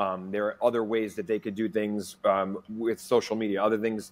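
At a moderate pace, a man speaks in a monotone, flat intonation with a fairly low pitch. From New York. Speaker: pickleball league executive; guest. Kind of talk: interview. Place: home room. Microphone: earbuds.

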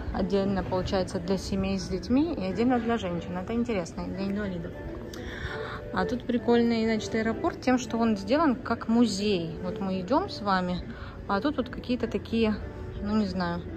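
Clear music plays in the background. Over it, a woman talks at a moderate pace. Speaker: family vlogger. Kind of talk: casual vlog chat. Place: station. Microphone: phone near.

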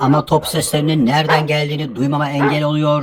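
A man's put-on character voice, rumbling and fairly high, fairly quick and monotone, with flat intonation and clear background noise. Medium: fan dub. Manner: grumbling, pessimistic.

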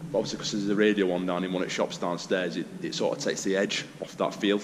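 A man's speech comes through noticeable background noise. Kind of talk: casual vlog chat. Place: hall. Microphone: phone near.

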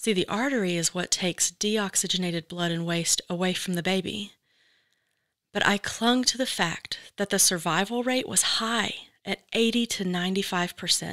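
In a normal speaking voice, a woman talks fairly slowly at medium pitch with ordinary pitch variation, and the sound is dry and close with no echo. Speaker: podcast host. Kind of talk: personal narration and interview.

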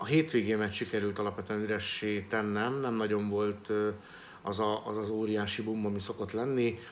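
Over light background noise, a man talks at a moderate pace in a fairly low, monotone voice with flat intonation. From Hungary. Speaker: real estate agent and business vlogger. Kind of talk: solo vlog monologue. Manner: halting, with many filler sounds. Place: home room. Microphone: phone near.

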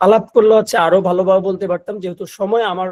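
A man's high-pitched voice in a dry, close recording with no echo. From Bangladesh, Noakhali. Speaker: video editing instructor. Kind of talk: online class orientation. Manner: halting, many fillers.

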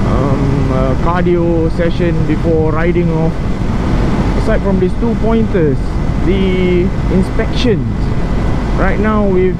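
A woman's voice comes across dry with no echo, though loud background noise is present. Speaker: motorcycle rider vlogger. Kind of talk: casual vlog chat. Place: motorbike. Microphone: helmet.

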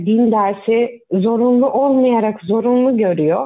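A woman's very slow speech, fairly high in pitch, with ordinary pitch variation. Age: 30s. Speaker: caller, mother. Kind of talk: call-in question. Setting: phone call.

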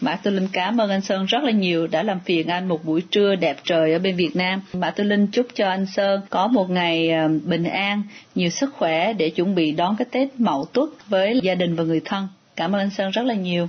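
Somewhat breathy and medium in pitch, a woman speaks at a moderate pace with very even loudness and ordinary pitch variation. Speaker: radio reporter. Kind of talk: interview.

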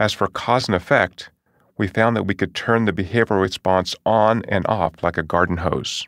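In a very clean recording with a silent background and a dry, close sound with no echo, a man speaks at a moderate pace in an ordinary speaking voice, fairly low in pitch with ordinary pitch variation. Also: very even loudness. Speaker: audiobook narrator and author. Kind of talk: audiobook nonfiction reading, first-person memoir-style narration. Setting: studio. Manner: measured, clear, storytelling tone with light wry humor; steady, even-paced, explanatory.

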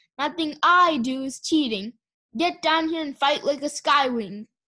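A woman puts on a character voice, pitched high and growling. She keeps a moderate pace. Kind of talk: commanding. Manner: snarling, angry.

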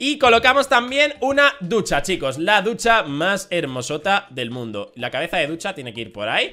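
Raised and projected, a man's voice sits high in pitch with very wide pitch swings and big swings in loudness. His tone is animated, bright and sharp, moving at a moderate pace with hardly any pauses. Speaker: gaming YouTuber. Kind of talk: gameplay commentary.

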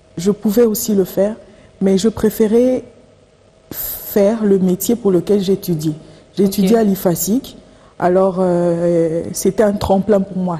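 Speaking at a very slow pace with fairly even intonation, a woman leaves long, frequent pauses. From DR Congo. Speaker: political analyst and journalist; political analyst, journalist. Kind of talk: TV interview. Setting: TV studio. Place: studio.

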